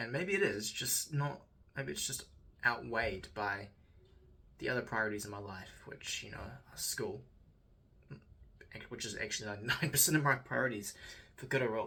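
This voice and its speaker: With vocal fry and a bright, sharp tone, a man speaks at a moderate pace and medium pitch, using lively intonation, big swings in loudness, and long, frequent pauses. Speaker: student video diarist. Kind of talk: personal video diary reflection. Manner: halting.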